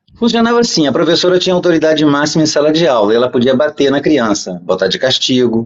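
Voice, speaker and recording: With lively intonation and a fairly high pitch, a man in a normal speaking voice talks at a fairly quick pace. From Brazil. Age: 60s. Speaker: podcast guest. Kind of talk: interview storytelling.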